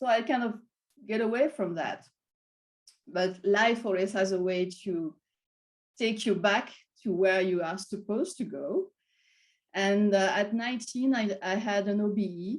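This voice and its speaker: A woman speaks fairly slowly in a strong French accent, with long, frequent pauses. Her pitch is medium with ordinary variation. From France. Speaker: wellness and meditation coach. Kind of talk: interview conversation. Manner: halting.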